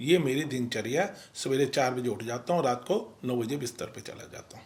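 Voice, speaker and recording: Over noticeable background noise, a man talks at a moderate pace in a medium pitch, with ordinary pitch variation and big swings in loudness. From Ghaziabad, India, Punjabi family. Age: 60s. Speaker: retired businessman, community leader. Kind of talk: interview.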